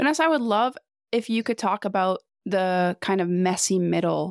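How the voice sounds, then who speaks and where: A woman talks at a moderate pace in an ordinary speaking voice. The recording is very clean, with a silent background. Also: dry, close sound with no echo. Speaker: podcast host. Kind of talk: casual chat.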